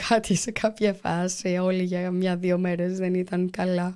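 Her tone is dark and mellow. The woman's pitch is medium. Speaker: volunteer anaesthesiologist doctor; guest. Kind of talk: interview. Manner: halting. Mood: serious, calm recounting. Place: studio. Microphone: studio mic.

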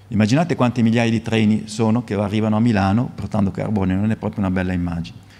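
A man talks at a very fast pace with hardly any pauses. His fairly low pitch carries a dark, mellow tone and fairly even intonation. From Italy. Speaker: physics professor. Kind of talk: lecture. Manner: halting, repeats words. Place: hall. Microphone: podium.

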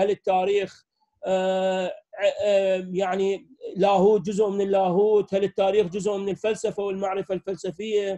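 In a dry, close recording with no echo, a man with an Iraqi accent talks at a moderate pace in a high, dark, mellow voice with flat, monotone intonation. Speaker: history professor. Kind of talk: academic lecture. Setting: video call.

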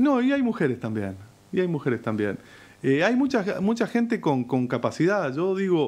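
The voice moves at a moderate pace. Its pitch swings very widely. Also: man, high pitch for a man. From Argentina. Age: 40s. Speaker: mayor. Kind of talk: interview. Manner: halting. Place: studio. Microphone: studio mic.

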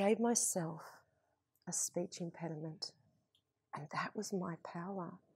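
Against a quiet background with a dry sound and no echo, a woman with a fairly low pitch speaks at a fairly slow pace with long, frequent pauses, her tone warm, passionate and somewhat breathy. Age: 40s. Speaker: motivational speaker. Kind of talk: motivational speech. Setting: stage with audience. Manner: animated, emphatic, repeating key phrases for effect; warm, inspirational, passionate delivery. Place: stage. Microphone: lapel.

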